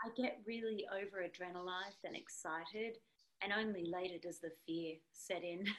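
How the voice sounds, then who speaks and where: Moderate pace from a woman with an Australian accent, medium pitch and fairly even intonation. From Australia (Sydney). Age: 30s. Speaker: singer-songwriter. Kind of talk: casual interview.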